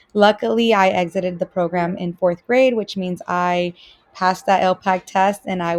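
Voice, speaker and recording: A woman with a Spanish accent speaks at a moderate pace in a medium pitch, her intonation fairly even. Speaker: student teacher. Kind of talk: self-introduction video. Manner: hesitant, many fillers.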